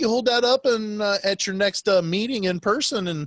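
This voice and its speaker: A loud man with a high pitch talks at a fairly quick pace, showing ordinary pitch variation. The sound is dry and close, with no echo. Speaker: podcast host. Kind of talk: casual chat. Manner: loud, projecting; halting, many fillers.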